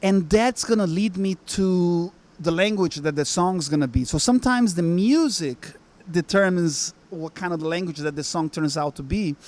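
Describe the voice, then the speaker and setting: With a Portuguese accent, a man speaks at a moderate pace in a high voice with ordinary pitch variation. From Brazil. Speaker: musician. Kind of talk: interview. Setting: music lounge. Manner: halting, many fillers.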